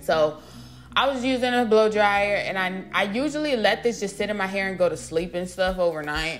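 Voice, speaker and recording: Over music in the background and audible room echo, a woman with a medium pitch speaks at a moderate pace with lively intonation. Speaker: beauty vlogger. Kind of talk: tutorial. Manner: casual, talkative.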